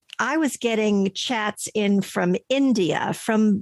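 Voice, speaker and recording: Close and dry with no echo, a woman's voice comes through at a fairly high pitch. She speaks at a very slow pace. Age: 60s. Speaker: podcast manager and voice over artist. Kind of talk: interview answer.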